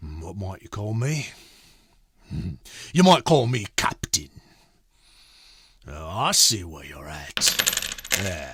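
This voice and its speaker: A man's put-on character voice, raspy and very deep, very slow, with very wide pitch swings and long, frequent pauses. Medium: read story. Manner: rough, coarse.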